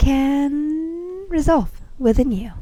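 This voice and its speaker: This woman has a high-pitched voice with a dark, mellow tone. She speaks with a non-native accent. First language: not English. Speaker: spiritual vlogger. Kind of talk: casual spiritual talk to camera. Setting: outdoors on a bench, sandy place.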